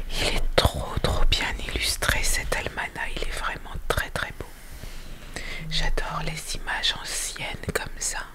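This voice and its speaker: A woman is whispering very slowly. Behind her, background noise is noticeable. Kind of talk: ASMR book presentation. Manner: whispered.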